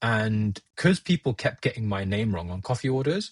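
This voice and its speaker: A man talks at medium pitch for a man with ordinary pitch variation and a somewhat breathy quality. The sound is dry and close with no echo, over a quiet background. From India then UK from age nine. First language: Gujarati. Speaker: podcast guest. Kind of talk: casual chat. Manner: halting.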